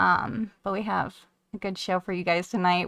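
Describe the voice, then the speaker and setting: A soft-spoken woman, medium in pitch, at a moderate pace. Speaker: radio show co-host. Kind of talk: casual chat.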